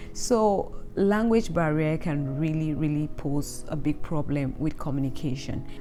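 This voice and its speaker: A woman with a Cameroonian accent speaks at a fairly slow pace with hardly any pauses, her pitch very deep and its variation ordinary, with audible room echo and music in the background. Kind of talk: vlog talk to camera.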